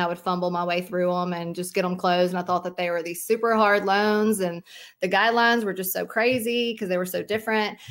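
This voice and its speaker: Fairly quick speech from a woman, medium in pitch and fairly even in intonation. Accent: Southern US. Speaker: mortgage broker, company owner. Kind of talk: interview.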